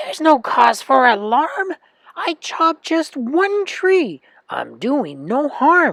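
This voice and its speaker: Pitched high in a put-on character voice, the speaker goes at a very slow pace with a raised, projected voice. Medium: read story.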